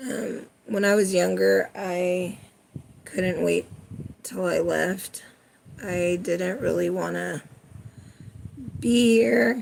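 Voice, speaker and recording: The speaker has a West Coast accent. The pace is very slow, with long, frequent pauses. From California. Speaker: watercolor artist, live streamer. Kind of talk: casual live-stream chat while painting. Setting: live stream. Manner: casual, somewhat indifferent-sounding.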